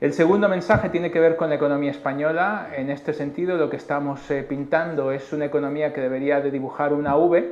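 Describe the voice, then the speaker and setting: Amid noticeable background noise and audible room echo, a man with a Mexican accent and fairly high pitch speaks fairly quickly with fairly even intonation. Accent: Mexican accent, noticeable in Spain. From Mexico. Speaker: chief economist. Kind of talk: conference presentation. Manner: hesitant with frequent filler 'eh'.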